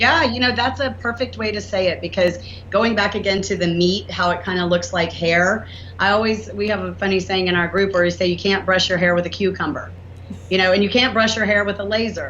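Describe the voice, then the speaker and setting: A woman with a Southern US accent, medium pitch and ordinary pitch variation, speaking fairly quickly amid noticeable background noise and audible room echo. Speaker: inventor and entrepreneur. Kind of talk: podcast interview.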